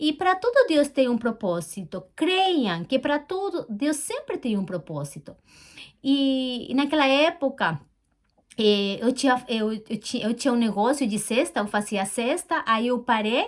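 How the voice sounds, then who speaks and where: A woman at a high pitch with very wide pitch swings, at a fairly slow pace. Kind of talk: personal testimony. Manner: halting, repetitive.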